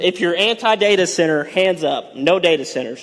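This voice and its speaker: At a moderate pace, a man speaks in a high voice. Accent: Texas. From Texas. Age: 20s. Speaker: farmer, public commenter. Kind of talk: public comment at county meeting. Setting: county courtroom with audience. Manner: halting.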